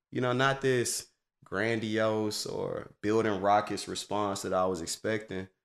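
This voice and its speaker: In a fairly low pitch, a man speaks at a fairly slow pace with fairly even intonation. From US South, Atlanta. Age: 30s. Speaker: branding agency owner. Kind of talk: casual chat.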